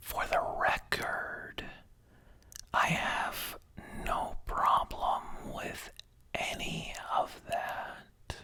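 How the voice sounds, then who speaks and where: Long, frequent pauses break up a very slow whisper set against noticeable background noise. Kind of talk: ASMR personal story telling. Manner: whispered.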